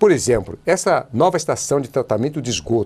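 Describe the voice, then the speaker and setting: At a moderate pace, a man speaks in a somewhat breathy voice with very wide pitch swings. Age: 70s. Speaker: politician. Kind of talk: TV interview. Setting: TV studio.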